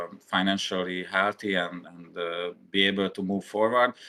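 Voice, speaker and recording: In a Hungarian accent, a man speaks fairly slowly with a fairly low pitch. His intonation stays fairly even. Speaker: VR hardware company representative. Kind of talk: interview. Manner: halting, many fillers.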